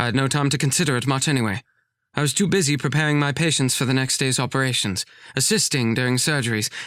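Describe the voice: The clip features plain reading aloud over a quiet background.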